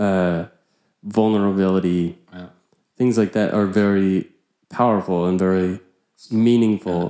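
A man with an American accent, fairly low-pitched and dark and mellow in tone, at a fairly slow pace with long, frequent pauses and monotone, flat intonation. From US Pacific Northwest. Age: young. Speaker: guest, musician. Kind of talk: casual chat.

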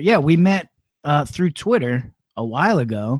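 A man's fairly high-pitched, plain, everyday voice with lively intonation. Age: middle-aged. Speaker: podcast host, former radio host. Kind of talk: casual chat. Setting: livestreamed podcast.

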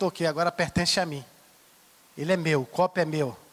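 A man talks at a moderate pace. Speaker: bishop. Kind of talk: sermon. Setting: church.

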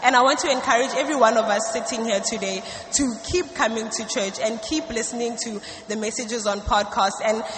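Fairly high-pitched woman at a moderate pace, with noticeable background noise and audible room echo. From South Africa. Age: 20s. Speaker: student giving church testimony. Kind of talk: church testimony. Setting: church stage.

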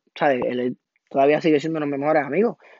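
A man's voice with ordinary pitch variation. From Puerto Rico (Toa Baja / Cataño). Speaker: podcaster. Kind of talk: casual monologue. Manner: animated.

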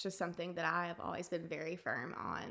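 A woman with an Alabama accent speaks at a fairly low pitch in a bright, sharp tone with vocal fry and monotone, flat intonation. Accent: Southern US (Alabama). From US South, Tuscaloosa, Alabama. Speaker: wedding photographer, former Spanish teacher. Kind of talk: interview, personal testimony.

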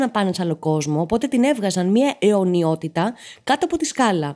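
The tone is dark and mellow, the pace moderate, and the pitch swings very widely. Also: woman. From Greece, Patras. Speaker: podcast host. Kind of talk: comedic solo monologue.

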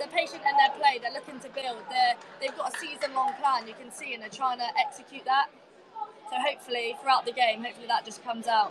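Over crowd noise, a woman talks very fast at a high pitch, her loudness swinging widely. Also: lively intonation. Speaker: women's football captain and guest pundit. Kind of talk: match punditry chat.

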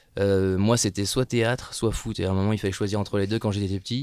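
A man talks at a fairly quick pace in a fairly low pitch and a monotone, flat intonation, on a very clean recording with a silent background. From northern France, Lille. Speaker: actor. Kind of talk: casual chat.

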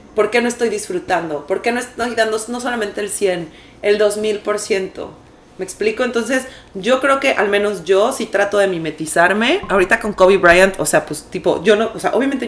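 A woman's lively intonation and fairly quick delivery come through over clearly audible background noise. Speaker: podcast co-host. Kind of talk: casual chat.

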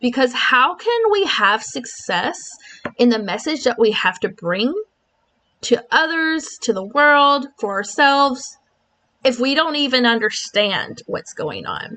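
Raising and projecting her voice, a woman speaks fairly slowly at a high pitch. Her pitch swings very widely. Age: 30s. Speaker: podcast host, online business owner. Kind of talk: solo podcast monologue.

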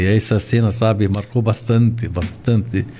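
Noticeable background noise sits behind a man speaking with an Arabic accent. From Lebanon. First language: Arabic (speaking Portuguese). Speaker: shoe store chain owner. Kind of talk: interview. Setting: studio.

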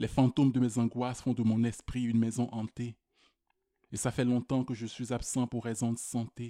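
A man's medium-pitched voice has a dark, mellow tone and monotone, flat intonation. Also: moderate pace, dry, close sound with no echo. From Quebec, Rimouski. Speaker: slam poet. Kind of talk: slam performance.

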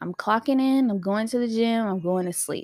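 Recorded with a dry, close sound and no echo, a woman speaks in an animated tone at a fairly high pitch with ordinary pitch variation. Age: 20s. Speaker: solo podcast host. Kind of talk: casual monologue.

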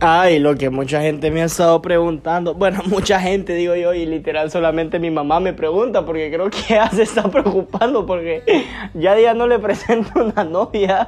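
Noticeable background noise sits behind a man who speaks with a Honduran accent and a high pitch. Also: ordinary pitch variation, moderate pace. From Honduras, Lempira department. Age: 20s. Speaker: podcaster, university student. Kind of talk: casual monologue.

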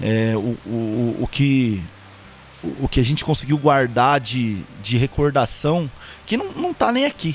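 Very slow, medium-pitched male speech with long, frequent pauses over noticeable background noise. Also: ordinary pitch variation. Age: 30s. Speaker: purchasing professional, grandson of a singer. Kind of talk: casual interview chat. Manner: halting, repeats words often.

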